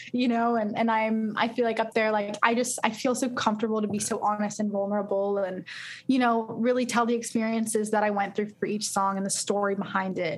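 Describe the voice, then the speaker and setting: A fairly high, somewhat breathy woman's voice in a Californian accent, fairly quick, monotone and flat, with very even loudness. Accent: Californian American. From Los Angeles. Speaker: singer-songwriter. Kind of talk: casual interview.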